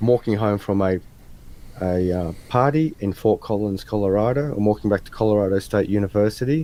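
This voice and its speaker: Speaking very fast with an Australian accent, this man has a fairly low pitch, a dark, mellow tone and ordinary pitch variation. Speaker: interview guest. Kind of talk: casual interview chat. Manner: animated storytelling.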